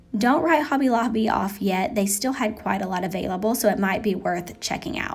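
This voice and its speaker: A woman with an Appalachian accent, a fairly high pitch and ordinary pitch variation, at a fairly quick pace with hardly any pauses, amid audible room echo and noticeable background noise. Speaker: lifestyle vlogger. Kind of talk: casual voiceover narration. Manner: chatty, conversational.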